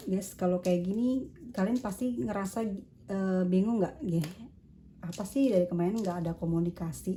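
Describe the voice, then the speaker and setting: At a moderate pace, a woman speaks at medium pitch with ordinary pitch variation, a dark, mellow tone and a somewhat breathy quality. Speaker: tarot reader. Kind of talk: tarot reading. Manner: casual.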